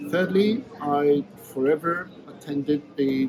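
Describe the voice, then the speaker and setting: Over noticeable background noise, a man with a Polish accent speaks at a fairly high pitch with lively intonation. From Poland. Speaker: veterinary dentist and teacher. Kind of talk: interview.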